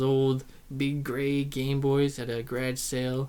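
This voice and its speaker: Quietly and at a very slow pace, a man speaks at a medium pitch. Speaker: YouTuber. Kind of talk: casual vlog monologue. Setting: alone in front of a camera. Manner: hesitant, many ums and ahs; shy, quiet.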